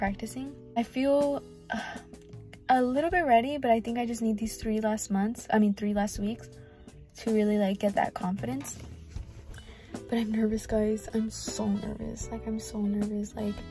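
Over faint background music, a woman talks at a moderate pace with ordinary pitch variation and long, frequent pauses, the sound dry with no echo. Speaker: trucking student vlogger. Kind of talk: casual vlog chat. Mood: nervous but upbeat. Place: car. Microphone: phone near.

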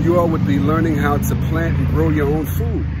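A man talks at a moderate pace in a dry sound with no echo, over loud background noise. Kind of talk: casual vlog chat. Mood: warm, encouraging. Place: garden. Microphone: phone near.

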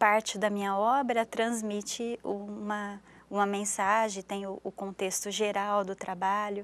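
At a very slow pace, a woman speaks in a monotone, flat intonation at medium pitch. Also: dry sound with no echo. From interior of São Paulo state, Brazil. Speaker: visual artist; interview guest. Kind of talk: interview. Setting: TV studio. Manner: halting, frequent repetitions. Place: studio. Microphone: lapel.

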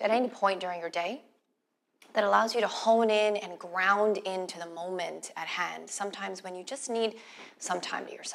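A woman's voice swings widely in loudness while her pitch varies in an ordinary way. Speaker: meditation guide. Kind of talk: guided meditation. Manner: slow, soothing, calm and gentle with long pauses. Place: studio.

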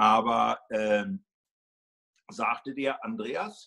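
A man's voice has vocal fry and very wide pitch swings. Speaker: homeopathy teacher and school co-founder; homeopathy teacher. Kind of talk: interview. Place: home room. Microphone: phone near.

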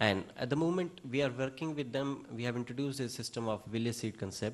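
The man's pitch varies in an ordinary way while he talks at a very fast pace. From India. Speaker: agricultural researcher. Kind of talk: audience question. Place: hall.

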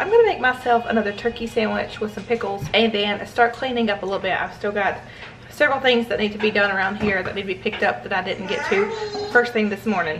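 Over clear background music, a woman talks at a very fast pace. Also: ordinary pitch variation. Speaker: family vlogger mom. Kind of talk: casual vlog chat. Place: kitchen. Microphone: phone near.

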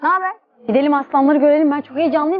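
The recording sounds dry with no echo, over light background noise. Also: woman. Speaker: vlogger. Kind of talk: casual vlog chat. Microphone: lapel.

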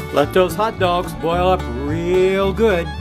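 A man with an American accent, clear music in the background. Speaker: home cook. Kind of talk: casual cooking demo to camera. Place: kitchen. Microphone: phone near.

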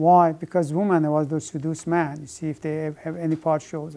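A man with a fairly high pitch speaks in a dark, mellow tone, his intonation monotone and flat. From Iran. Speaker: professor. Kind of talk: lecture. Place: classroom.

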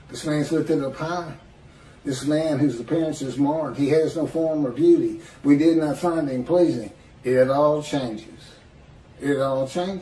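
The voice has audible room echo and light background noise behind it. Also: man. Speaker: religious commentator. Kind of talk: religious commentary monologue.

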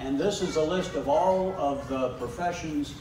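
A man talks at a moderate pace with ordinary pitch variation, over noticeable background noise and audible room echo. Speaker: guest. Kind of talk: public talk. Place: hall. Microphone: handheld.

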